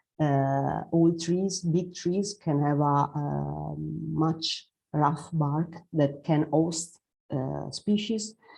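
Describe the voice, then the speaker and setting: A woman's very deep, low voice with a dark, mellow tone and a non-native accent. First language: Italian. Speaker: forest ecologist presenter. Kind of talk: presentation. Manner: halting, many fillers.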